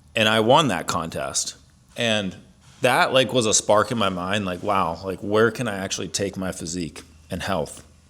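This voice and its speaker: With a Midwestern American accent, the voice has a bright, sharp tone, ordinary pitch variation and a moderate pace. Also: man. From US Midwest, Ohio. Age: 40s. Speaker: fitness coach. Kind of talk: personal story monologue. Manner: casual, many fillers.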